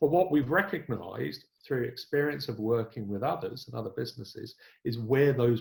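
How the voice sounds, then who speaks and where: Lively intonation marks this man's medium-pitched voice. He sounds somewhat breathy and keeps a moderate pace. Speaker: business consultant. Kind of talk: webinar presentation. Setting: online webinar.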